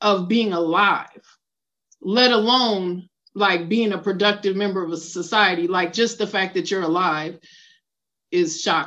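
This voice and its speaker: In a normal speaking voice, the speaker goes at a fairly slow pace with ordinary pitch variation over a quiet background. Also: woman. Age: 40s. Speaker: writer in addiction recovery. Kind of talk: personal testimony.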